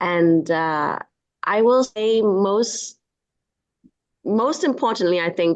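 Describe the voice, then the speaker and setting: A woman with a Chinese accent, speaking very slowly with lively intonation. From Hong Kong, raised in England from nine. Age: 40s. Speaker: entrepreneur and film producer. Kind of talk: interview. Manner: halting, many fillers.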